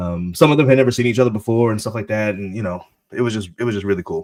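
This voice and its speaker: A man with ordinary pitch variation. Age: middle-aged. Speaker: podcast co-host. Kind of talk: casual chat. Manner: loud.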